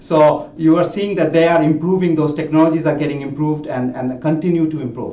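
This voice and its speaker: At a fairly quick pace, a man with a non-native accent and fairly high pitch uses fairly even intonation amid noticeable background noise and audible room echo. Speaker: tech executive presenting a webinar. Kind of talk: webinar presentation. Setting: online webinar. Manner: many fillers and repetitions.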